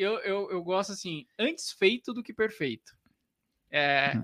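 Using a raised, projected voice, a man speaks at a very slow pace with long, frequent pauses and very wide pitch swings. His high voice has a bright, sharp tone, and the sound is dry and close with no echo. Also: very clean recording, silent background. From interior of São Paulo state, Brazil. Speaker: physiotherapist and business mentor. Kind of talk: podcast interview.

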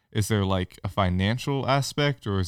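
A normal speaking voice: a man with an American accent, fairly low in pitch, ordinary pitch variation, moderate pace, dry and close with no echo, on a very clean recording with a silent background. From California. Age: young. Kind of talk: casual chat.

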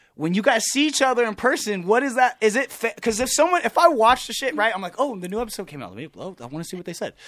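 A man with a Californian accent talks at a very fast pace. His pitch is high and his intonation lively. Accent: Californian American. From Southern California (Riverside). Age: 20s. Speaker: musician and actor. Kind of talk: casual chat.

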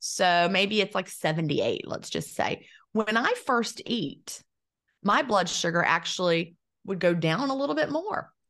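Delivered at a fairly slow pace, this is a normal speaking voice with lively intonation. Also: woman, medium pitch for a woman, quiet background. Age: 50s. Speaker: intermittent fasting author and former teacher. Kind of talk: interview.

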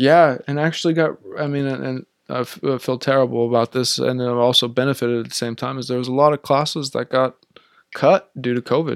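A man speaks in a plain, everyday voice at a medium pitch and fairly quick pace. His intonation is fairly even, and the sound is dry and close with no echo. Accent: American. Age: 30s. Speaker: psychology professor and therapist. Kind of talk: interview.

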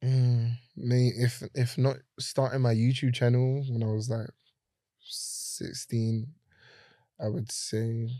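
A man with a London accent, medium-pitched, dark and mellow in tone, speaking very slowly and flatly in a monotone, with long, frequent pauses, on a very clean recording over total silence. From South London, Brixton. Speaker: photographer and content creator. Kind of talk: casual chat. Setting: studio.

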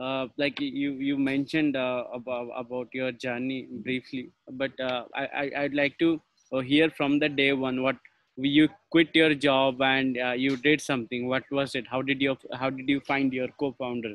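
A man's plain, everyday voice, fairly high in pitch, at a fairly slow pace. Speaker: podcast host. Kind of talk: interview.

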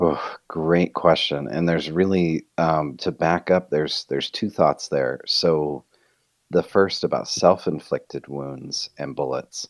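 A man speaks at a fairly slow pace with a dry, close sound and no echo. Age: 30s. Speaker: author and marriage coach. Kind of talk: interview.

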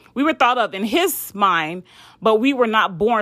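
A woman talks in a bright, sharp, animated tone with lively intonation. The recording is very clean, with a silent background. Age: 30s. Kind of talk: devotional talk. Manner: casual, animated.

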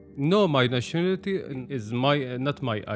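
A man with an Arabic accent speaks at a fairly slow pace with lively intonation. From Syria. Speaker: refugee. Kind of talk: testimony. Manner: halting, many repetitions.

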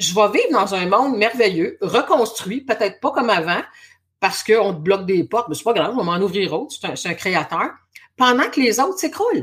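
A woman's energetic, fairly high voice with a Quebec accent, very wide pitch swings and a moderate pace. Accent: Québécois French. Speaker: spiritual coach and hypnotherapist. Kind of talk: casual interview chat.

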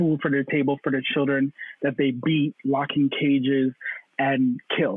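A man with a Toronto accent and a fairly high pitch. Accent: Toronto Canadian English. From Canada (Toronto), Caribbean parents. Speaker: panel guest. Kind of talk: casual panel discussion.

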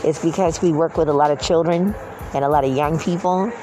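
Music plays in the background and the room echo is audible. A man speaks with a fairly high pitch and fairly even intonation. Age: 50s. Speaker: video blogger. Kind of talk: casual monologue. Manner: halting.

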